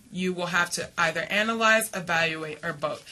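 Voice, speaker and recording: A woman with a bright, sharp tone speaks at a fairly quick pace amid audible room echo. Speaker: college reading instructor. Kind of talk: lecture. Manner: fast; hesitant, many fillers.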